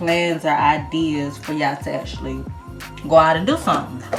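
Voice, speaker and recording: A woman speaks in a fairly low voice with an American accent. Her pace is fairly slow, with music playing in the background. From Georgia, USA. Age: 20s. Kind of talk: casual talk to camera. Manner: chatty, conversational.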